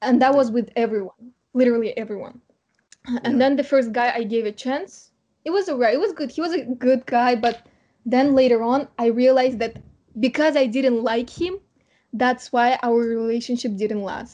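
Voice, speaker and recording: At a moderate pace, a woman talks with a high pitch, ordinary pitch variation and a dark, mellow tone. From Kazakhstan. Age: 20s. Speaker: student. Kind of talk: casual chat.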